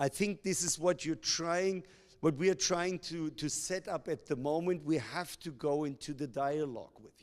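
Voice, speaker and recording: In a German accent, the voice moves at a moderate pace with ordinary pitch variation and big swings in loudness, on a very clean recording with a silent background. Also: man, fairly high pitch for a man. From Germany. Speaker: company executive. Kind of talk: public Q&A.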